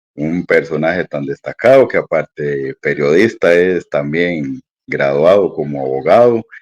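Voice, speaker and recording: Recorded with a dry, close sound and no echo, a man speaks with a Costa Rican accent at a fairly slow pace. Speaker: interviewer. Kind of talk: interview.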